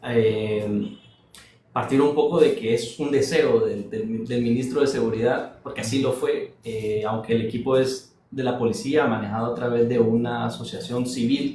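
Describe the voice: A soft-spoken man talks at a moderate pace in a dark, mellow tone. His intonation is fairly even, and strong room echo fills the recording. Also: medium pitch for a man.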